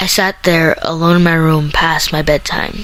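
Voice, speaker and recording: A woman talks at a moderate speed. Clear background noise surrounds her voice. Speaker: spoken word poet. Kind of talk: slam poetry reading.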